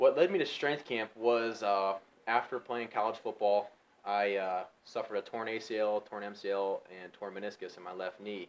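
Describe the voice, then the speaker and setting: At a moderate pace, a man with a Midwestern American accent speaks in a fairly low voice with fairly even intonation and big swings in loudness. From Ohio, United States. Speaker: strength coach and gym manager. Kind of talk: interview answer.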